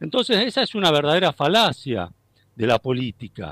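A man speaks at a moderate pace. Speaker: philosophy professor. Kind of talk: interview. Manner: halting.

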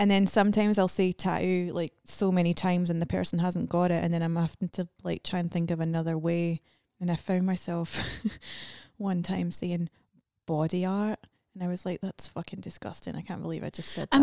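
A woman's fairly low-pitched voice in a Scottish accent, fairly quick and monotone with flat intonation, in a dry, close sound with no echo. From Scotland. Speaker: podcast guest, cosmetic tattoo artist. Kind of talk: casual, profane.

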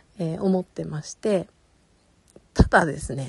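The woman talks at a moderate pace with a fairly low pitch. Vocal fry runs through her voice. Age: 40s. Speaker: podcast host and illustrator. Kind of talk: casual solo talk.

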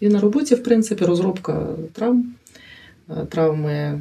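A woman's medium-pitched voice with lively intonation at a fairly slow pace. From Ukraine, Chernihiv. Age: 40s. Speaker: paramedic and community organization head. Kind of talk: interview testimony.

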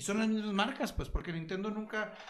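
A man speaks with a Mexican accent. The room echo is audible. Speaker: podcast co-host. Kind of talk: casual chat. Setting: live stream on Facebook.

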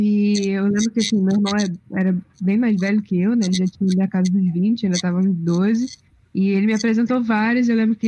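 A woman speaks fairly quickly at a medium pitch, somewhat breathy, with a dark, mellow tone. Her intonation is monotone and flat. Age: 20s. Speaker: film graduate panelist. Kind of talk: casual chat.

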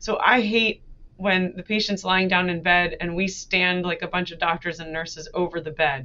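At a moderate pace, a woman with an unremarkable speaking voice talks at a medium pitch with fairly even intonation. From US, New Jersey. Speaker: cardiologist. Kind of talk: interview conversation.

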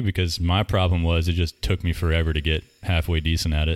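Speaking very fast, a man talks with an American accent. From North Carolina. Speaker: podcast host and skateboarder. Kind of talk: casual interview chat. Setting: home recording.

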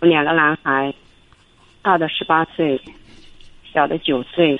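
With fairly level intonation, a woman talks at an average pace in a very deep, low register. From Hubei, China. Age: 40s. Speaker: caller, small factory owner. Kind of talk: radio call-in, personal problem.

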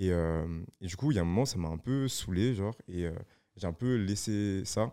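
A man's fairly low, dark and mellow voice with ordinary pitch variation, on a very clean recording with a silent background. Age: young. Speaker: photographer, videographer and DJ. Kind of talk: casual chat.

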